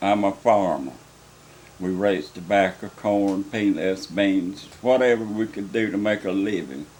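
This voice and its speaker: In a rural North Carolina accent, a man talks at a fairly slow pace with ordinary pitch variation. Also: fairly low pitch for a man. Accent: US Southern, rural North Carolina. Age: 70s. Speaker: farmer. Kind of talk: testimony.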